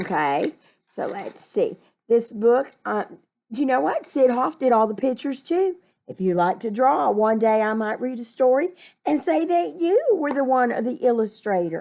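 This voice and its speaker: The voice has a warm tone that is dark and mellow, with very wide pitch swings. It moves at a moderate pace over a quiet background. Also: woman, high pitch for a woman. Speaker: children's story reader. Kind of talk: reading aloud. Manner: warm, explanatory to children.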